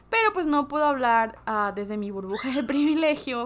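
A woman's normal speaking voice, lively in intonation, at a moderate pace. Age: 20s. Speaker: podcaster / content creator. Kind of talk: casual vlog monologue. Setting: home bedroom recording.

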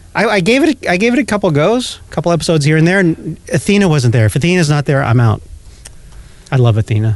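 A man talks in an animated tone at a very fast pace, his loudness very even. His pitch is fairly high and swings very widely. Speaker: podcast co-host. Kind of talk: casual banter about TV. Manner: animated, joking.

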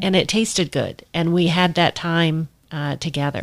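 Here is an ordinary speaking voice: a woman with fairly low pitch, fairly even intonation and a moderate pace. The recording is very clean with a silent background and a dry, close sound with no echo. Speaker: podcast host and professional coach. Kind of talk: interview. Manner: warm, effusive.

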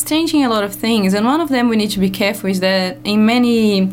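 A woman with a strong non-native accent at a moderate pace, fairly even intonation, and noticeable background noise. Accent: heavy foreign. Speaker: radio guest, ecologist. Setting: radio studio.

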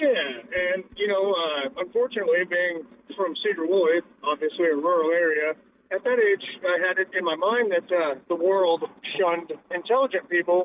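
High-pitched male speech at a moderate pace, very even in loudness, with ordinary pitch variation and noticeable background noise. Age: 30s. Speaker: caller. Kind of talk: phone call.

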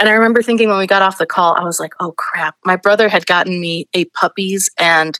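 A woman's bright, sharp voice of medium pitch, with an American accent and a moderate pace. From Astoria, Queens, New York. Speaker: senior producer. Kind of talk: casual interview.

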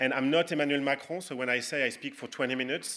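A man with a French accent talks at a very fast pace in a fairly high pitch for a man, with a bright, sharp tone and fairly even intonation, on a very clean recording with a silent background. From France. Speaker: political tech entrepreneur. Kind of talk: conference talk.

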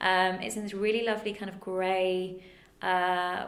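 Speaking with a northern English accent at a fairly slow pace, a woman uses a medium pitch and fairly even intonation in a room with audible echo. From northern England. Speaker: museum curator. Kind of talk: casual interview.

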